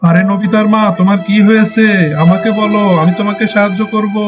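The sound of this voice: A man puts on a cartoonish character voice with a high pitch. He speaks at a moderate pace.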